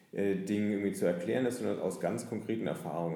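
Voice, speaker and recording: Lively intonation carries through the speech, with audible room echo. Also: man. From Nuremberg, northern Bavaria. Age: 30s. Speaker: author and lawyer. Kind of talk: interview. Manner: frequent hesitations.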